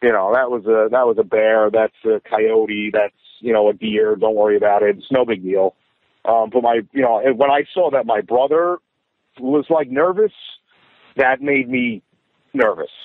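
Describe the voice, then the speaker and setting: A man speaks at a moderate pace with a medium pitch, ordinary pitch variation and very even loudness. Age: 30s. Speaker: hunter. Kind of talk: testimony. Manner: halting.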